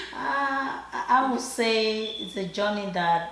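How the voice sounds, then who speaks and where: Through audible room echo and noticeable background noise, a woman with a Nigerian accent speaks with very wide pitch swings. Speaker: shoe designer. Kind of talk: interview. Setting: designer's living room.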